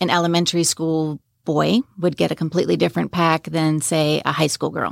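A woman with an American accent and an unremarkable speaking voice talks at a moderate pace with fairly even intonation and a fairly low pitch, on a very clean recording with a silent background and a dry, close sound with no echo. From New York, Long Island. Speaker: nonprofit founder. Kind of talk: interview.

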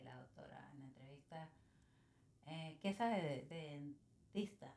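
Her voice dark and mellow in tone, a woman speaks at a fairly slow pace. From Venezuela, San Cristóbal (Táchira). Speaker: small business owner. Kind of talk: casual interview.

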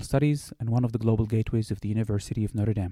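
A man's very fast speech, dark and mellow in tone, with fairly even intonation. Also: dry, close sound with no echo. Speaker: university program director. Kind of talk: scripted introduction. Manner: formal.

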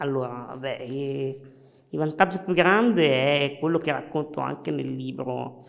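At a fairly slow pace, a man with an ordinary speaking voice talks at a fairly high pitch with ordinary pitch variation. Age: 30s. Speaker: wheelchair hockey champion and lawyer. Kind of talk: interview.

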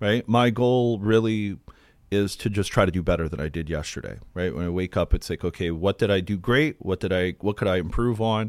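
A man with an unremarkable speaking voice and an American accent speaks at a moderate pace and fairly low pitch, with ordinary pitch variation, in a very clean recording with a silent background. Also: dry, close sound with no echo. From Ohio, US Midwest (Akron area). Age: 40s. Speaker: mortgage company owner. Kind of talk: interview conversation. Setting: studio.

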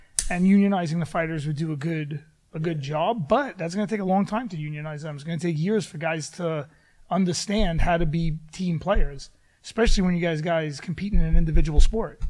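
Rather fast speech carries normal rises and falls in pitch. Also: man, high pitch for a man. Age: 40s. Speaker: MMA fighter and podcast co-host. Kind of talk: casual chat.

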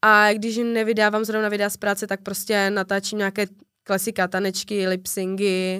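In a very clean recording with a silent background, a woman with a slight Ostrava accent speaks at a moderate pace and medium pitch, her tone bright and sharp and her intonation monotone and flat. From Czechia, Ostrava. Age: 20s. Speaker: TikToker and bartender. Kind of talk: casual interview chat.

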